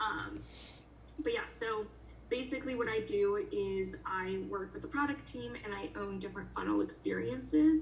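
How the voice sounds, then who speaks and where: With noticeable background noise and audible room echo, a woman talks at a moderate pace. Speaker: job interviewer. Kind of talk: job interview.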